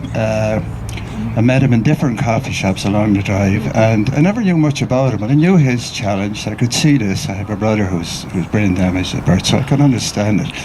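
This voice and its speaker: A man's fairly quick, fairly low-pitched speech in an Irish accent, lively in intonation, with noticeable background noise and audible room echo. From Ireland. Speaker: mourner sharing memories at a memorial. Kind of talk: eulogy, informal remembrance speech. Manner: halting, repetitive.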